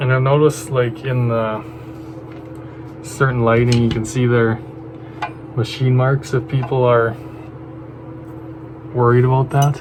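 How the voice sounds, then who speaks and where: At a fairly slow pace, a man speaks at medium pitch with monotone, flat intonation, with noticeable background noise. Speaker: firearms hobbyist. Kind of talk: casual talk to camera. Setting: outdoors.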